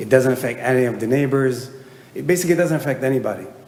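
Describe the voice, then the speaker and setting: Audible room echo surrounds a man speaking at medium pitch with a non-native accent. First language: not English. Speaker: applicant homeowner. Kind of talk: public testimony at hearing. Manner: halting, many fillers.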